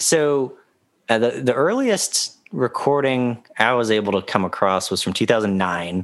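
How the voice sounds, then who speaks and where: Lively intonation marks a normal speaking voice moving at a fairly slow pace. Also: man, medium pitch for a man. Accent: American. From US South, South Carolina. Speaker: musician and writer. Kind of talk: casual chat.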